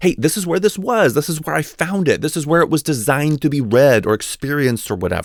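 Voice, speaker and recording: A man's fairly high-pitched, fairly quick voice with vocal fry and very wide pitch swings, dry and close with no echo, on a very clean recording with a silent background. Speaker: college writing teacher. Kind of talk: educational voice-over lecture. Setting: home recording.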